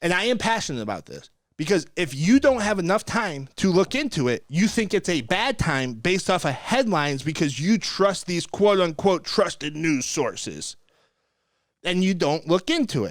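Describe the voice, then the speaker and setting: Heard in a very clean recording with a silent background, a man with a high pitch and an animated tone speaks at a moderate pace, his pitch swinging very widely. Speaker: mortgage broker podcast host. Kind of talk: podcast discussion.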